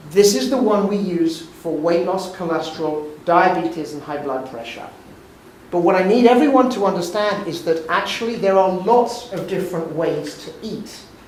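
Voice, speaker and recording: A high-pitched man talks at a moderate pace with big swings in loudness, amid noticeable background noise. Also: ordinary pitch variation. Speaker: physician and lecturer. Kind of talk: lecture.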